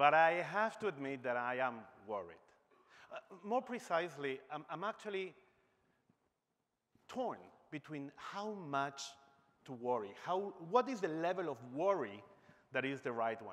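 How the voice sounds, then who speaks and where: Speaking at a fairly slow pace, a man makes very wide pitch swings and takes long, frequent pauses. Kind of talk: conference speech. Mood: humorous then serious. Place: stage. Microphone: lapel.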